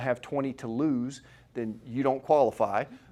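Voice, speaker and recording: A man uses a normal speaking voice at medium pitch, with ordinary pitch variation. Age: 40s. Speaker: chiropractor running a weight-loss workshop. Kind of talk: workshop presentation with sales pitch. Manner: casual, conversational.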